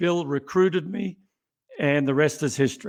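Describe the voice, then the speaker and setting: This man talks at a fairly quick pace, his fairly high pitch showing ordinary variation. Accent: Australian. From Australia, Melbourne. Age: 60s. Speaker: company CEO. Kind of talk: interview.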